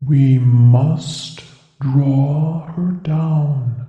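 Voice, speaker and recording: A put-on character voice at a low-to-middle pitch. There is a clear echo. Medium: read story. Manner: gentle, old-fashioned courtly phrasing.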